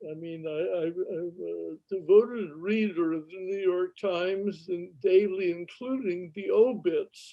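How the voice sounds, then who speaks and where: At a very slow pace, a man speaks with a high pitch and ordinary pitch variation. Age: 90s. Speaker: film producer and teacher. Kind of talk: casual interview chat.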